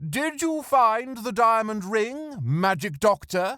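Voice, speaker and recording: Using a put-on character voice, a man speaks at a high pitch with very wide pitch swings, on a very clean recording with a silent background. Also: fairly slow pace. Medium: read story.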